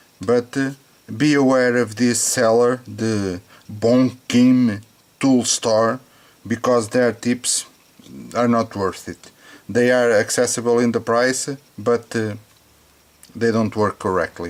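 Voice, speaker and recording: Slowly and with long, frequent pauses, a man with a non-native accent speaks at a medium pitch with fairly even intonation. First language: not English. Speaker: hobbyist tech reviewer. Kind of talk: product test demonstration. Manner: halting, many fillers and repetitions.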